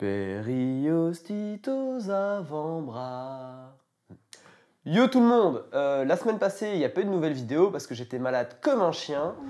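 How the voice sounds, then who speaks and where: A man's dark, mellow voice at a fairly slow pace with very wide pitch swings, on a very clean recording with a silent background. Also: fairly high pitch for a man. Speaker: fitness youtuber. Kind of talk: tutorial. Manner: casual.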